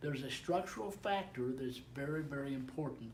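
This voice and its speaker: A man speaks at a moderate pace, his pitch varying in an ordinary way, amid audible room echo and noticeable background noise. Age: 70s. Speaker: network marketing distributor. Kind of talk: casual chat. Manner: halting.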